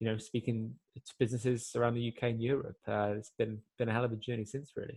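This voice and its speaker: A man speaks at a very fast pace. His medium-pitched voice stays monotone and flat. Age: 20s. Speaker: adventurer and motivational speaker. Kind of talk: interview conversation. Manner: halting, with fillers and repetitions.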